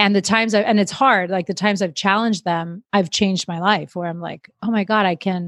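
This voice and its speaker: A woman speaks in a plain, everyday voice at a medium pitch, fairly quick and with hardly any pauses, her intonation fairly even. The recording is very clean with a silent background, and the sound is dry and close with no echo. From Miami, Florida. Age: 30s. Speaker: podcast host. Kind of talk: casual chat.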